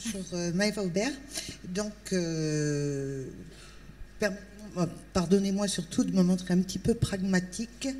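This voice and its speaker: A woman at a very slow pace, medium pitch and ordinary pitch variation, with long, frequent pauses. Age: 60s. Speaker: audience member, job seeker. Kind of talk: public question. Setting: tent with audience.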